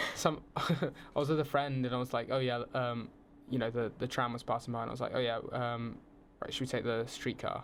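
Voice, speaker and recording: With a southern English accent, a man speaks at a moderate pace and medium pitch, keeping his intonation fairly even. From southern England, around London. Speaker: film student on exchange. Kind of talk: casual podcast interview.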